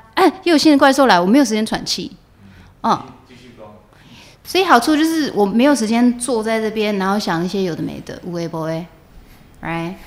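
A woman's fairly high-pitched, fairly quick speech with very wide pitch swings and long, frequent pauses. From Taiwan. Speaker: actress. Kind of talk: interview, casual chat.

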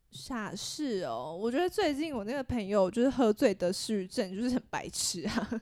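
With a Taiwanese accent, a woman talks at a moderate pace with hardly any pauses. Her pitch is fairly high and her intonation lively. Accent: Taiwanese Mandarin. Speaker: podcast co-host. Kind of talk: casual chat.

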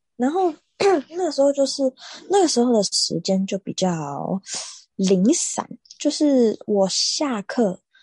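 A woman speaks at a very slow pace in a somewhat breathy voice with a dark, mellow tone and very wide pitch swings. The sound is dry and close with no echo, over a quiet background. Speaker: podcast co-host, swimming coach. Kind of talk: casual chat.

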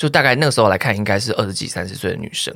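A man with a Taiwanese accent and lively intonation, on a very clean recording with a silent background. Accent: Taiwanese Mandarin. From Taiwan, Nantou. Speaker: YouTuber and podcaster. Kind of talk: casual chat.

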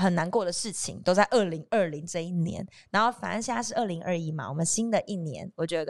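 Her pitch fairly low, a woman talks at a fairly quick pace in an animated tone with lively intonation. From southern Taiwan, Kaohsiung. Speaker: TV host. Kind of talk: casual chat.

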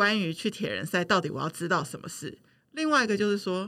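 On a very clean recording with a silent background, a woman speaks in a plain, everyday voice at a fairly quick pace with ordinary pitch variation. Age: 40s. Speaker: podcast producer. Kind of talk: casual chat.

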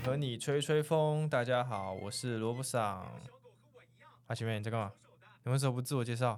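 With a Taiwanese accent, a man speaks at a moderate pace. His pitch is medium, with ordinary pitch variation. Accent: Taiwanese Mandarin. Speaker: podcast host. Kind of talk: casual chat. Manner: animated.

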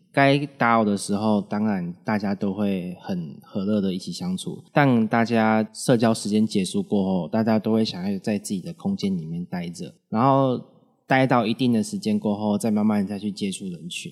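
A man at a fairly low pitch with ordinary pitch variation, moderate pace and hardly any pauses, on a very clean recording with a silent background. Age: young. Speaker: host's son, college student. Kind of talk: interview. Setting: studio.

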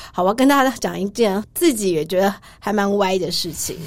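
There is noticeable background noise as a woman talks at a medium pitch. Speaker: travel writer. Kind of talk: casual interview chat.

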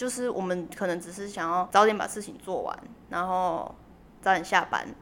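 A woman's medium-pitched voice shows ordinary pitch variation as she talks at a moderate pace. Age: 20s. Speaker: university student. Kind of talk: interview.

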